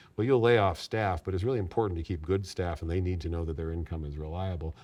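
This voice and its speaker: A man talks very fast in a very deep, low voice with a dark, mellow tone. He sounds somewhat breathy, and the background is quiet. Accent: American. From US West Coast (San Diego, California). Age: 60s. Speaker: nursery owner, entrepreneur. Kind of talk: interview.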